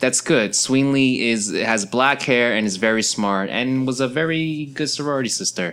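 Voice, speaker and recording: Bright, sharp tone from a man with an American accent, medium pitch, lively intonation and a moderate pace on a very clean recording with a silent background. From New York, Flushing Queens. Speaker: podcast host. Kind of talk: casual monologue. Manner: halting, repetitive.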